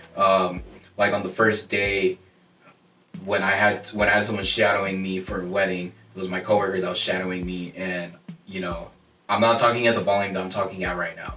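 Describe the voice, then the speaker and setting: Over noticeable background noise, a man with a very deep, low pitch talks at a fairly quick pace in a monotone, flat intonation. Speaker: wedding photographer. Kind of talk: casual chat. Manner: soft-spoken.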